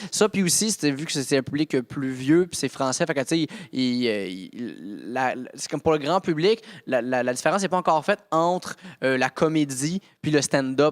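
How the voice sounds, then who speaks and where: A man speaks at a fairly high pitch with lively intonation. The recording is very clean, with a silent background and a dry, close sound with no echo. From Quebec. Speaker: stand-up comedian. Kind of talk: casual chat. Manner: fast; animated.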